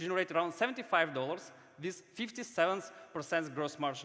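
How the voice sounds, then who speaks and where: A man with a non-native accent talks at a fairly quick pace in a bright, sharp tone. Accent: foreign. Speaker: startup founder. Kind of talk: startup pitch.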